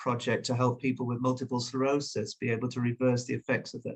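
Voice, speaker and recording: A man with a British accent talks at a fairly quick pace and a medium pitch. His voice is somewhat breathy. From northern England, Leeds. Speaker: journalist and author. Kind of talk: interview. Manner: hesitant, many fillers.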